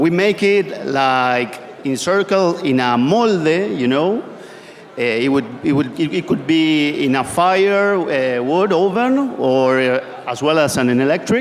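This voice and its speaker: A man speaks very slowly at a fairly high pitch, with very wide pitch swings and very even loudness. There are hardly any pauses, and noticeable background noise runs underneath. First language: Spanish. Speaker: pizza maker. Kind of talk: panel discussion. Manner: halting.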